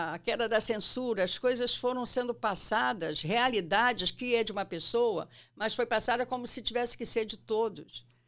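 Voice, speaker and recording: A woman with an ordinary speaking voice, fairly high in pitch, at a fairly slow pace. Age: 60s. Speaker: psychoanalyst. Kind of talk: interview.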